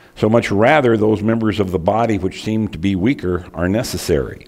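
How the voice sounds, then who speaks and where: A man talks in a normal speaking voice at a moderate pace, against a quiet background. His pitch is fairly low, with ordinary pitch variation. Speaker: preacher. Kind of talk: sermon. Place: church.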